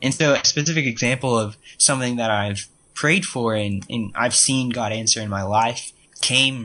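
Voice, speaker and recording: Speaking at a moderate pace, the man has a medium pitch, a bright, sharp tone and fairly even intonation. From Texas, Austin. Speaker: college student, intern. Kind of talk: casual faith discussion, testimony. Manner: hesitant, many fillers.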